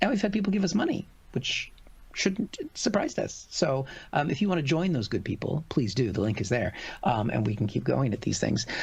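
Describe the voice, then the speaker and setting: A man with an American accent talks at a fairly quick pace with vocal fry. His pitch sits fairly high and swings very widely. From United States. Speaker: comedian. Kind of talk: casual chat. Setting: live stream.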